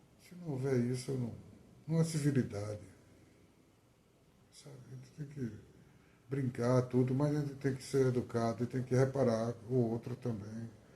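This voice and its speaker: At a moderate pace, a man speaks in a dark, mellow, somewhat breathy tone at a medium pitch, with fairly even intonation, big swings in loudness, and long, frequent pauses. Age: 60s. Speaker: poet. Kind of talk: testimony. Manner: halting.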